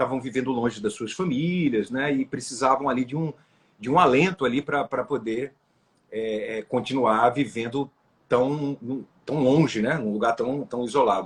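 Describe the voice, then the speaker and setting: At a moderate pace, a man speaks in a somewhat breathy voice at medium pitch with ordinary pitch variation. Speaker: comedian. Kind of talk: interview. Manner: halting.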